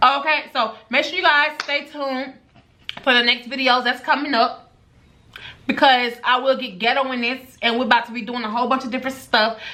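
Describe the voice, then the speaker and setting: Raising and projecting her high-pitched voice, a woman speaks at a fairly quick pace. Her intonation stays fairly even against noticeable background noise. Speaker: beauty and lifestyle vlogger. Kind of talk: vlog unboxing with mic test. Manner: loud.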